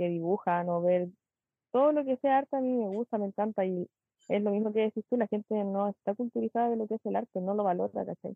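A woman's voice at medium pitch. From Chile, Pichilemo. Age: 20s. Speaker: dancer. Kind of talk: interview.

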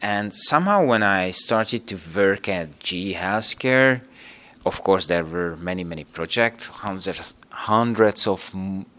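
A man with a Hungarian accent talks at a very slow pace. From Hungary. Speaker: operations manager, engineer. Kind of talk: interview. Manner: halting.

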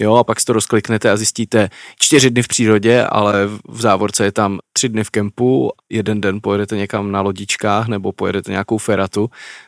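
A man with a plain, everyday voice speaks at a fairly quick pace, his pitch fairly low and intonation fairly even, in a very clean, dry, close recording with a silent background and no echo. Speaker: podcast co-host. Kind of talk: casual chat.

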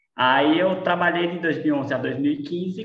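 With audible room echo, a man speaks very slowly at a high pitch. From Brazil, Sergipe (Lagarto). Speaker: architect and business owner. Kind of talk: casual chat.

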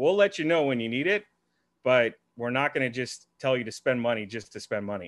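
In an unremarkable speaking voice at medium pitch, a man talks at a fairly quick pace with a dry, close sound and no echo. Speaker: podcast interviewer and marketer. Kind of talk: casual interview chat.

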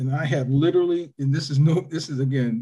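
In an American accent, a man talks fairly quickly with a dark, mellow, somewhat breathy tone and fairly even intonation. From Toledo, Ohio. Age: 50s. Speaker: former high school football player. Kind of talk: casual interview.

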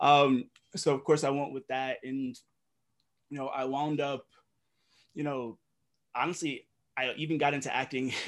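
With an American accent, a man talks in a fairly high voice using monotone, flat intonation and long, frequent pauses. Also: moderate pace. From Brooklyn, New York. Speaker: esports content creator and analyst. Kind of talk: casual interview chat.

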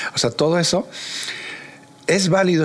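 A man is heard with noticeable background noise behind him. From Mexico, Querétaro (Huimilpan). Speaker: visual artist and museum curator. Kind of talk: interview conversation.

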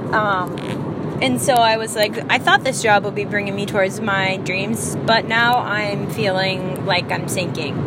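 Speaking at a fairly slow pace with hardly any pauses, a woman shows ordinary pitch variation over noticeable background noise. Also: medium pitch for a woman. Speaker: podcast host. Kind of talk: casual monologue. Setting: in a car. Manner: halting.

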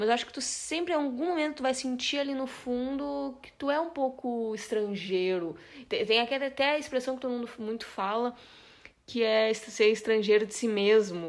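A high-pitched woman at a moderate pace, with lively intonation and big swings in loudness. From Brazil. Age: 20s. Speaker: podcast co-host, journalist. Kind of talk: casual chat.

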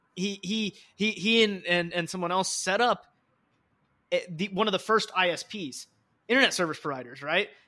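With a raised, projected voice pitched high, a man talks at a moderate pace, his pitch varying in an ordinary way amid long, frequent pauses. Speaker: podcast host. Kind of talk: casual chat.

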